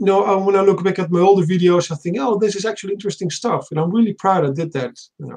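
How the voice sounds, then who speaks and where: In a Dutch accent, a man talks at a very fast pace. His voice is high in pitch. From Netherlands. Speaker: aspiring science YouTuber. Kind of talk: casual panel discussion. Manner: halting, many restarts.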